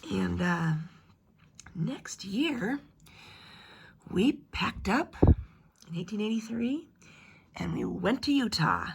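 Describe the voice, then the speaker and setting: A woman talks fairly slowly at a medium pitch, with vocal fry. Her pitch swings very widely. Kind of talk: family history told in first person as an ancestor. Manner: casual, hesitant.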